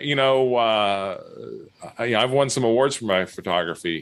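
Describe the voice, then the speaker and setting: A man speaks with an American accent. His pace is moderate and his pitch variation ordinary. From California. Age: 60s. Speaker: local news publisher. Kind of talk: podcast interview. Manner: halting.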